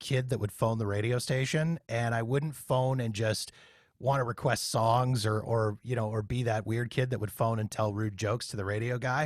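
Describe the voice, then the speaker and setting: In a normal speaking voice, a man with a Canadian accent talks at a moderate pace and medium pitch, on a very clean recording with a silent background. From Canada, Winnipeg. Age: 40s. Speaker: podcast host and former radio worker. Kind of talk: casual interview chat.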